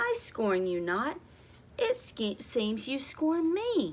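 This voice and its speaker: A put-on character voice at a very slow pace with very wide pitch swings, over clear background noise. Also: woman, high pitch for a woman. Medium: read story.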